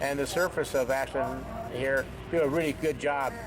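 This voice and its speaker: Fairly even intonation at a moderate pace, against noticeable background noise. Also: man. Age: 70s. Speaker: veteran motorcycle racer. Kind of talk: casual interview.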